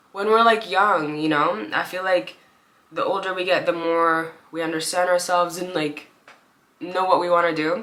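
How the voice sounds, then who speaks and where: Audible room echo surrounds a woman speaking at medium pitch and a moderate pace. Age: 20s. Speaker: YouTuber. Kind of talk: casual chat. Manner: rambling filler-heavy.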